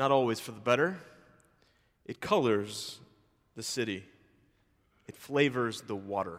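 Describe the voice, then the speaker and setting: With an American accent, the speaker goes at a fairly slow pace with lively intonation, big swings in loudness, long, frequent pauses and audible room echo. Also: man, medium pitch for a man. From US South, Memphis, Tennessee. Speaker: preacher. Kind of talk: sermon.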